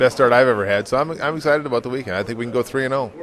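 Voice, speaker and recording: Talking at a very fast pace with a slight Minnesota accent, a man is heard over noticeable background noise. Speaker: drag racing driver. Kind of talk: casual interview. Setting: hotel. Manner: halting, many fillers.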